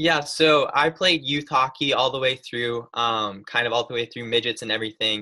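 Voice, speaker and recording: The speech moves at a moderate pace with hardly any pauses. Pitch varies in an ordinary way. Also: man, medium pitch for a man. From upstate New York. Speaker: college goaltender. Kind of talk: casual chat.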